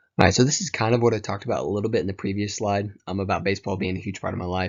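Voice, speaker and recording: A man with a Tennessee accent speaks at a very fast pace. His pitch is fairly low and his intonation fairly even. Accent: Southern US (Tennessee). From US South, rural Tennessee. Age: 20s. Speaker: college student. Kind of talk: class presentation. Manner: hesitant, many fillers.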